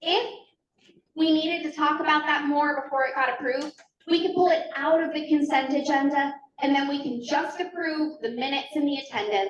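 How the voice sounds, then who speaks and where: Loud and high-pitched, a woman talks at a fairly quick pace. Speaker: committee meeting facilitator. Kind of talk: committee meeting.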